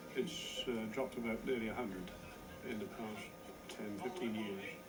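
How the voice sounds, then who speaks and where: Music plays in the background as a man talks at a medium pitch. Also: ordinary pitch variation, moderate pace. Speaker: village resident. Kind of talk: interview answer.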